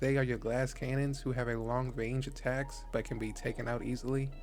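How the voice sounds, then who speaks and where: The speech comes at a fairly quick pace, with music in the background and audible room echo. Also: man. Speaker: gaming YouTuber. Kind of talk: tutorial. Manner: casual.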